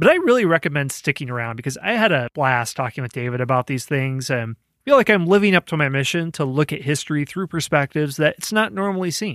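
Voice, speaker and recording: A man at a very fast pace with hardly any pauses, in a dry, close sound with no echo. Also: fairly high pitch for a man, lively intonation, very clean recording, silent background. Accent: American. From Iowa, US Midwest. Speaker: history podcast host. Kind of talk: podcast interview.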